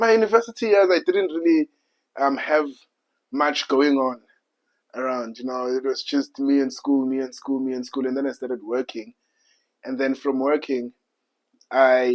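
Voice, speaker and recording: A South African accent from a man with a fairly high pitch, ordinary pitch variation, a moderate pace and long, frequent pauses. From South Africa, Soweto. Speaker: podcast guest. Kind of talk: casual chat. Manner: halting.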